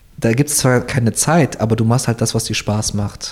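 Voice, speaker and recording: Noticeable background noise is present throughout. Over it, a man talks with fairly even intonation. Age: 20s. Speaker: SEO team lead. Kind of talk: interview. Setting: in person at workplace.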